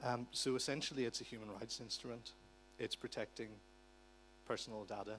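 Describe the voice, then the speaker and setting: With an Irish accent, a man speaks at medium pitch and a fairly quick pace, his intonation fairly even. Long pauses come often. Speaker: conference speaker on digital rights. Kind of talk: conference talk. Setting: conference hall with interpreters.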